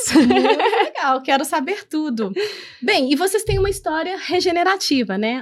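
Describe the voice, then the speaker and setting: A woman speaks at a fairly slow pace with very wide pitch swings, on a very clean recording with a silent background. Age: 40s. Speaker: podcast host, company founder. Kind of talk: interview podcast.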